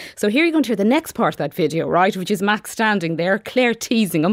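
Speaking with an Irish accent, a woman uses lively intonation on a very clean recording with a silent background and a dry, close sound with no echo. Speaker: radio reporter. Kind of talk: radio feature report. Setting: studio.

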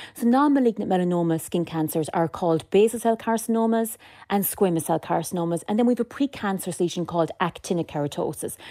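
In a northwest Irish accent, a woman speaks very fast with hardly any pauses, at a medium pitch with lively intonation, a dark, mellow tone and very even loudness, on a very clean recording with a silent background and a dry, close sound with no echo. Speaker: dermatology nurse specialist. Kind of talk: radio interview.

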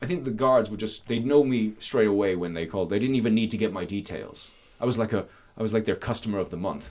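With an Irish accent, a man talks at a very fast pace in a fairly low pitch with ordinary pitch variation, in a very clean recording with a silent background. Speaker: landowner and rewilding advocate. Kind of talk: interview.

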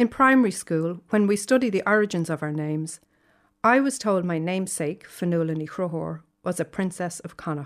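A woman at a fairly low pitch with a Dublin accent, moderate pace and ordinary pitch variation, on a very clean recording with a silent background. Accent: Dublin Irish. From Ireland, Dublin. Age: 50s. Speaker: essayist. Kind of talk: reading aloud.

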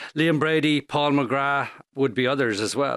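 A man with an Irish accent speaks at a medium pitch. The sound is dry and close, with no echo. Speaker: radio podcast host. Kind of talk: interview. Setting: studio.

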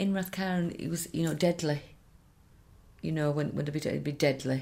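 A woman speaks with a very deep, low voice on a very clean recording with a silent background. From Ireland, Connemara. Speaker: singer's daughter. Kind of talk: interview reminiscence.

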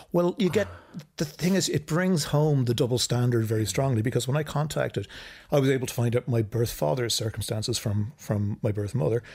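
Someone with an Irish accent speaks at a fairly quick pace with lively intonation. The voice is somewhat breathy and very even in loudness. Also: man, medium pitch for a man, very clean recording, silent background. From Ireland. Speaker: filmmaker. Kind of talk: casual chat.

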